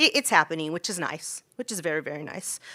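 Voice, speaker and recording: The voice is loud, with a bright, sharp tone and a dry, close sound with no echo, in a very clean recording with a silent background. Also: woman. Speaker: school teacher speaking at public comment. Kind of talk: public comment at a city council meeting. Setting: council chambers. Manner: hesitant, many fillers.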